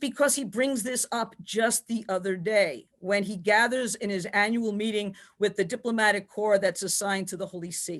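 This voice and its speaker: With a New York accent, this woman talks at a moderate pace in a medium pitch, her intonation lively against a quiet background. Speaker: theology professor. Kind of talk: panel lecture.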